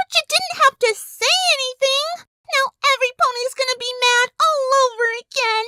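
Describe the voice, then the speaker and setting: A put-on character voice, squeaky and bubbly in tone. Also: female-sounding voice, extremely high pitch for a woman, moderate pace. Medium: audio drama. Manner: bubbly, excitable.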